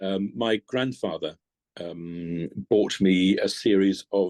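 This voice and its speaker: A man with ordinary pitch variation, recorded with a dry, close sound with no echo. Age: 60s. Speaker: organist. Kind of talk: interview. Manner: halting, many fillers.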